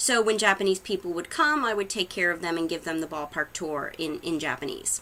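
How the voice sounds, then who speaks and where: A woman with an American accent, heard over noticeable background noise. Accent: Boston accent, slight, comes out sometimes. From Massachusetts, Haverhill (Boston area). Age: 30s. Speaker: psychic medium and YouTuber. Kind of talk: casual vlog introduction. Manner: hesitant, many fillers.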